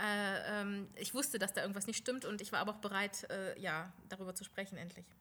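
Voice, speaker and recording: Talking at a fairly quick pace with hardly any pauses, a woman uses a medium-pitched voice with a bright, sharp tone. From Lower Saxony, Germany. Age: 40s. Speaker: beautician, studio owner. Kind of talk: interview. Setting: studio.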